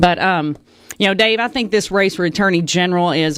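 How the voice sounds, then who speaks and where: Talking at a fairly quick pace, a woman with a Southern accent has a fairly low pitch. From Arkansas, Batesville. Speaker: political candidate. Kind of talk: debate opening statement.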